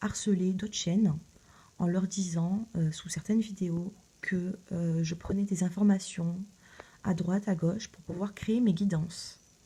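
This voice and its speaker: Speaking at a very slow pace, the woman has a dark, mellow tone, a somewhat breathy quality and fairly even intonation. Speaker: tarot reader youtuber. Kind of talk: casual video address. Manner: hesitant, many fillers.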